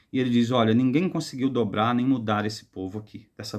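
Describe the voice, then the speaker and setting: The man talks at a medium pitch and a moderate pace, with ordinary pitch variation. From rural Brazil, countryside village. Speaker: book reviewer. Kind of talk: book review monologue. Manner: careful, hesitant with fillers.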